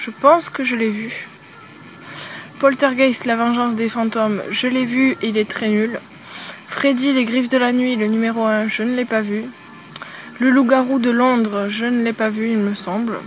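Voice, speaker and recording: Long, frequent pauses break up a woman's fairly slow delivery. Her intonation is monotone and flat, with noticeable background noise behind her. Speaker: YouTuber. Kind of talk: casual Q&A vlog. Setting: outdoors at a campsite. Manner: hesitant, many fillers; speaking softly.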